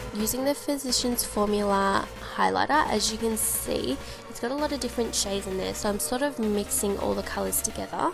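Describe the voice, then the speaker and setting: A woman with an Australian accent at a fairly quick pace, with music in the background. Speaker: beauty vlogger. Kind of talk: makeup tutorial voice-over. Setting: voice-over with home mic. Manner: casual, chatty.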